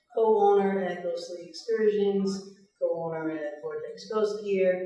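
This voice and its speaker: A woman speaks with an American accent at a medium pitch, her pitch varying in an ordinary way. Audible room echo surrounds her voice. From Massachusetts. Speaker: paranormal investigator and radio show host. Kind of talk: panel discussion.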